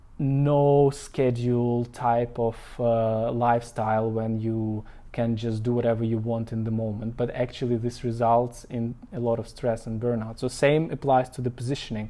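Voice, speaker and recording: A man with a non-native accent speaks at a medium pitch and a moderate pace. His dark, mellow tone stays monotone and flat. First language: not English. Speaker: marketing consultant. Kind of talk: live stream talk. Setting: Facebook live. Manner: halting, many fillers.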